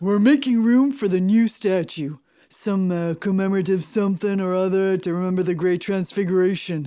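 The speaker's pitch sits in the middle range and the pace is moderate, on a very clean recording with a silent background. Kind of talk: comic double act. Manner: jovial, breezy comic patter.

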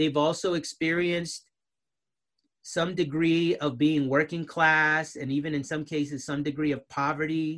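Here a man speaks in an American accent. His pitch is high. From Southern California, US. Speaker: sociology of religion professor. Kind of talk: casual conversation.

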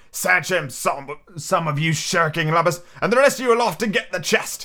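A man shouting in a put-on character voice, high-pitched with a bright, sharp tone, at a moderate pace. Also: lively intonation.

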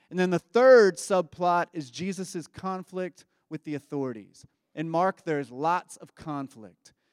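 With a Kentucky accent, this voice has lively intonation and big swings in loudness, recorded with a dry, close sound and no echo. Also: man, high pitch for a man, fairly slow pace. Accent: Kentucky Southern American. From Kentucky, US South. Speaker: pastor. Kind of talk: sermon.

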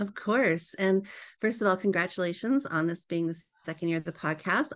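A woman with a plain, everyday voice and a Canadian accent talks at a moderate pace, with medium pitch and ordinary pitch variation. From Canada, British Columbia. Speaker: educator and author. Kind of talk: interview.

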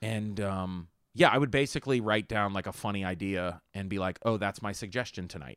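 A man with an ordinary speaking voice, a fairly low pitch and an American accent talks at a fairly quick pace with ordinary pitch variation in a very clean recording with a silent background. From Pittsburgh, Pennsylvania (Homestead). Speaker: stand-up comedian and actor. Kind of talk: casual chat.

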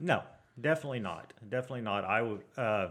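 With an American accent, a man talks at a moderate pace, his pitch varying in an ordinary way, while the background stays quiet. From Tulsa, Oklahoma. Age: 40s. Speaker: heavy equipment operator. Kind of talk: casual chat.

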